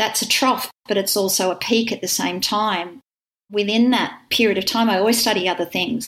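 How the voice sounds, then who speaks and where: With an Australian accent, a woman speaks at a moderate pace. Her pitch sits in the medium range, and her intonation stays fairly even. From Wagga, country New South Wales, Australia. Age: 50s. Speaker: Pilates teacher and studio owner. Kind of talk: interview conversation.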